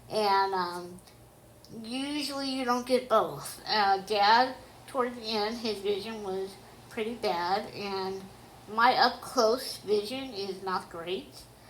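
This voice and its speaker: A woman talks at a very slow pace with ordinary pitch variation. Audible room echo surrounds her voice. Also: fairly high pitch for a woman. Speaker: autobiographical storyteller. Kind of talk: personal memoir narration. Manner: careful articulation due to deafness.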